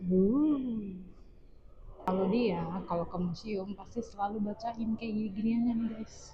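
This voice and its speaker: A woman speaks at a fairly slow pace in a normal speaking voice. Her pitch is fairly high, with ordinary pitch variation. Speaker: vlogger. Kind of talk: casual vlog narration. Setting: outdoors.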